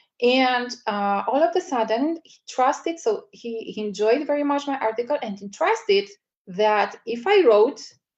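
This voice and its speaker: A woman with a non-native accent speaks at a moderate pace and a fairly high pitch. Her intonation is lively. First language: not English. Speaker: media strategy coach. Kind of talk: live webinar presentation. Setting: livestream webinar. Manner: hesitant, many fillers.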